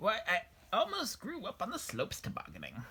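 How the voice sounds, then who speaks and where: A man performs a put-on character voice. He moves at a fairly quick pace. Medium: read story.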